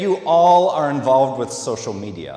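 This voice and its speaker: Audible room echo surrounds a man with a Minnesota accent. He talks at a fairly slow pace. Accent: Minnesota, long O's. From US Midwest, Minnesota. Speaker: social media specialist giving a talk. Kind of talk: conference talk. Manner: hesitant, many fillers.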